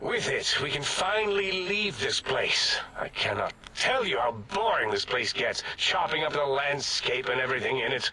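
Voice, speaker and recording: A man speaks in a put-on character voice at a moderate pace. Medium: machinima. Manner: pompous, condescending.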